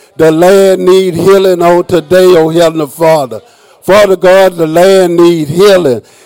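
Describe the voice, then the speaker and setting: Over noticeable background noise, a man speaks in a high pitch. His pitch varies in an ordinary way. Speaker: worship leader. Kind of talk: opening welcome and congregational prayer. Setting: church.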